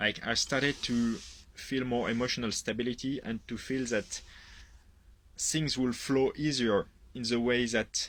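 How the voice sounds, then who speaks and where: A man's medium-pitched voice in a French accent, monotone and flat, at a fairly slow pace with long, frequent pauses, in a very clean recording with a silent background. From France. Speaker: product user giving testimonial. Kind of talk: testimony. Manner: hesitant, with fillers.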